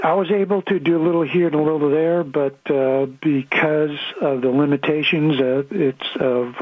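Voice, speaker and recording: A man speaks fairly slowly, his pitch varying in an ordinary way, as noticeable background noise sounds behind him. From Alaska. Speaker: patient, sculptor. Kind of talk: testimony. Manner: halting.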